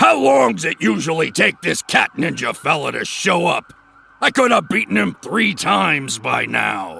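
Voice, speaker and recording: A raspy man at medium pitch uses a cartoonish character voice at a moderate pace, with very wide pitch swings. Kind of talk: cartoon voice acting. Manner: gruff, cocky, tough-guy.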